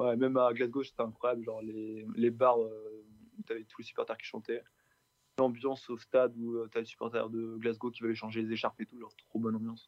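A man speaks at a fairly quick pace in a monotone, flat intonation. His loudness swings a lot. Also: medium pitch for a man. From Brittany, France (Rennes, Vitré). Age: 20s. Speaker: football supporter. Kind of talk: casual interview. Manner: hesitant, many fillers.

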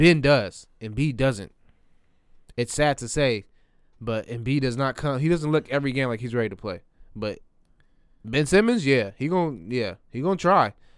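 On a very clean recording with a silent background, a man at medium pitch talks at a moderate pace with lively intonation and long, frequent pauses. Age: 20s. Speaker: podcast co-host. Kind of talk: casual chat.

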